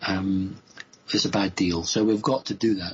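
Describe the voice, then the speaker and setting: The speaker has an English accent and a somewhat breathy voice. The pace is moderate and the intonation fairly even. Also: man. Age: 50s. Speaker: spiritual speaker. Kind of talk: radio interview. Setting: live radio show.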